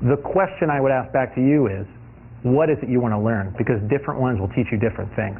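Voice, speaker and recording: A man at a very fast pace, animated in tone, with ordinary pitch variation. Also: medium pitch for a man. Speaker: design lecturer. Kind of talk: lecture Q&A. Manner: halting.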